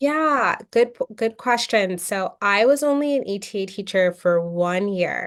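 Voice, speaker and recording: In a normal speaking voice, a woman with an American accent talks at a fairly slow pace. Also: very clean recording, silent background. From US West Coast, Portland, Oregon. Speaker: attorney, former English teaching assistant. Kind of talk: interview.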